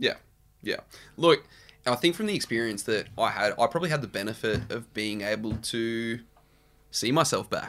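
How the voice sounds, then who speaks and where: Pausing long and often, a man speaks at medium pitch with ordinary pitch variation. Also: moderate pace. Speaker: podcast co-host and reality TV alum. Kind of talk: casual comedic chat. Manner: jokey, easygoing.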